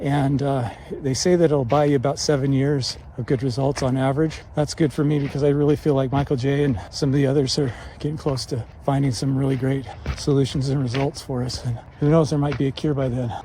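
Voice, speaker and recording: A man speaks at a fairly quick pace in a somewhat breathy voice with a dark, mellow tone. His pitch is fairly high and his intonation fairly even. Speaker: vlogger with Parkinson's disease. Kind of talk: casual vlog monologue. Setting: outdoors on a mountain. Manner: low volume, little inflection; halting with repetitions.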